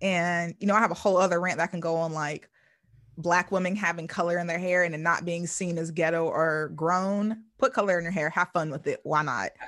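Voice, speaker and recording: Over a quiet background, a woman speaks with a normal speaking voice at a fairly quick pace. Her pitch is fairly low and her intonation fairly even. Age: 30s. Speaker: podcast host. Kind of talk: casual chat.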